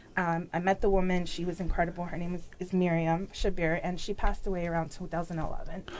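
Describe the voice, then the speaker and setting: Fairly quick, fairly low-pitched speech from a woman with a Chicago accent, monotone and flat in intonation with hardly any pauses, over noticeable background noise. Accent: Chicago American English. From Mexico City, raised in Chicago. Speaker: business owner. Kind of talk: casual interview chat.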